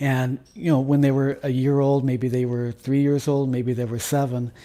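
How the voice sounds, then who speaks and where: Monotone and flat in intonation, a man speaks at medium pitch with a dark, mellow tone. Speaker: jazz musician and music professor. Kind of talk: casual interview conversation. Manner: halting, many repeated words.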